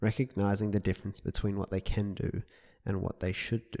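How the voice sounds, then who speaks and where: A man's fairly low, dark, mellow voice at a fairly quick pace, dry and close with no echo, on a very clean recording with a silent background. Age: 20s. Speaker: podcaster and writer. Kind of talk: reflective solo monologue.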